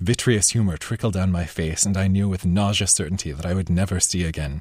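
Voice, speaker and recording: Over a very clean recording with a silent background, a man with a very deep, low voice speaks fairly quickly, somewhat breathy, with ordinary pitch variation. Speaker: author reading his novel. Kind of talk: literary audiobook reading, first-person narration of a blinded Cyclops's reflections.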